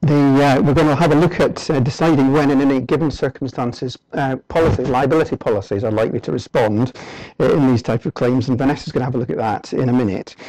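A man speaks at a very fast pace with ordinary pitch variation, the sound dry with no echo and the background quiet. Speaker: presenter. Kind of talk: lecture. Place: hall.

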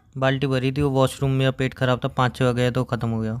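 A man speaks at a fairly quick pace with a clear, smooth tone. His pitch moves little. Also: medium pitch for a man.

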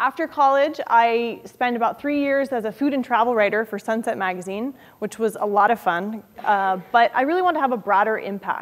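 A woman at a fairly quick pace, with ordinary pitch variation. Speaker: author; guest. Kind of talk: lecture. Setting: stage with audience. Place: classroom.

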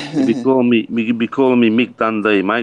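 A man speaks at a fairly quick pace with an Australian accent. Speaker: RC hobbyist co-host. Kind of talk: casual livestream chat. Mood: relaxed, joking. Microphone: video call.

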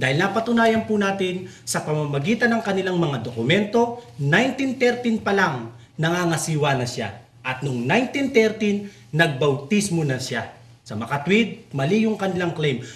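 Amid noticeable background noise and audible room echo, a man talks at a fairly slow pace. His high-pitched voice makes very wide pitch swings. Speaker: religious talk show host. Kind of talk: religious discussion.

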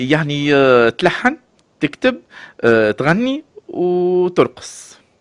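A man's fairly high voice at a very slow pace, with very wide pitch swings. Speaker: radio host. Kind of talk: radio interview.

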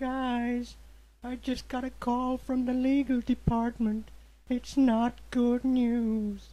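A woman talks at a very slow pace. Her voice is high-pitched. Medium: comedy sketch. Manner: worried, grim.

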